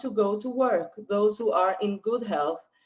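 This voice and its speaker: At a fairly slow pace, a woman with a non-native accent speaks at medium pitch with ordinary pitch variation. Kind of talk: reading a prepared talk. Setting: video webinar. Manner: careful, read from notes.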